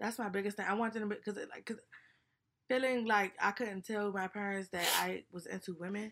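Quick-paced and fairly fast, a woman speaks at a medium pitch in a monotone, flat intonation. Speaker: podcast co-host. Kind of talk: casual chat.

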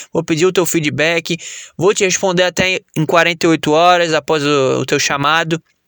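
Bright and sharp, a man's high voice sounds animated. The sound is dry and close, with no echo. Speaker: fitness coach and podcaster. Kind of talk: sales pitch. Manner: animated, casual, persuasive pitchman; informal, jokey, profane.

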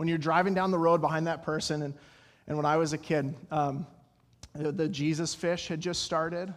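A man with an American accent at a fairly high pitch and moderate pace, monotone and flat, with audible room echo. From Colorado. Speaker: pastor. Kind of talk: sermon. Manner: halting.

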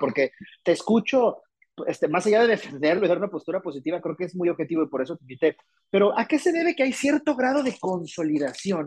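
In a Mexican accent, a man speaks at a very fast pace with very wide pitch swings, recorded with a dry, close sound and no echo. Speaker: podcast host. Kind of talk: interview.

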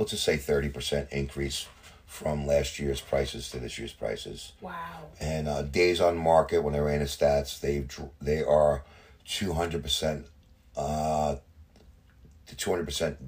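A man with a New Jersey accent talks at a fairly slow pace, leaving long, frequent pauses. His loudness swings widely. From New Jersey, Hudson County. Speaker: real estate agent. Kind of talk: casual interview.

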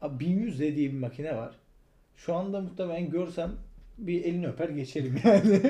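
A man with a high pitch and a dark, mellow tone speaks at a moderate pace with ordinary pitch variation. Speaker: podcast co-host, photographer. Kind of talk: casual chat.

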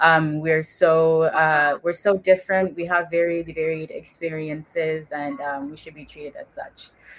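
A woman with a very deep, low pitch talks in a monotone, flat intonation with hardly any pauses, against noticeable background noise. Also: moderate pace. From US (Congolese immigrant family). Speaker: psychology graduate and mental health advocate. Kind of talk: casual interview. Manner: hesitant, many fillers.

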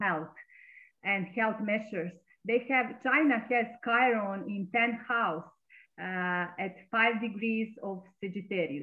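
Fairly slow delivery with ordinary pitch variation in a Serbian accent. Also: woman. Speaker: astrologer. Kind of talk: interview.

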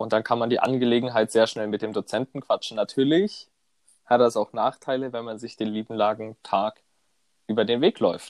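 A man's medium-pitched voice, a plain, everyday voice, at a moderate pace with fairly even intonation, dry and close with no echo. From southern Germany, Konstanz on Lake Constance. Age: 20s. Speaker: student podcast co-host. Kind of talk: casual chat.

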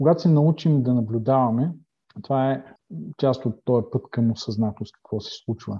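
A man talks at a moderate pace in a medium pitch, somewhat breathy, with ordinary pitch variation. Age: 50s. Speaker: life coach and former pastor. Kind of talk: interview. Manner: halting.

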